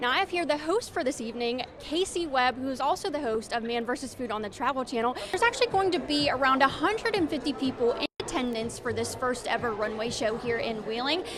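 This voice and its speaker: Over music in the background, a woman with a high pitch talks at a fairly quick pace with lively intonation and hardly any pauses. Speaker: TV news reporter and anchor. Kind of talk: live field news report. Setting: outdoors.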